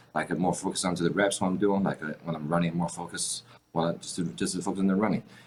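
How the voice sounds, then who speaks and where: A man with a strong Chinese accent talks at a very fast pace in a very deep, low pitch. His intonation stays fairly even over noticeable background noise. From China. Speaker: fitness influencer. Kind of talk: casual interview.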